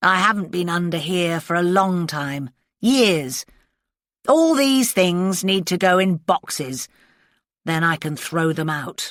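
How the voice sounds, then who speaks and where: Putting on a rumbling character voice, a woman speaks fairly slowly at a fairly low pitch with lively intonation, on a very clean recording with a silent background and dry, close sound with no echo. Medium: read story. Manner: curt, grumbling.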